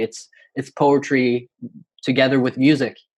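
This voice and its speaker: A man speaks at a moderate pace with a Norwegian accent. His pitch sits in the medium range. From Norway. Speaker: poet and university student. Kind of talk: interview. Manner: hesitant, many fillers.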